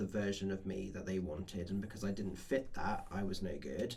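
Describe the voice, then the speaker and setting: In an English accent, a man speaks with audible room echo around him. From England, small town. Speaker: podcast co-host. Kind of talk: casual chat.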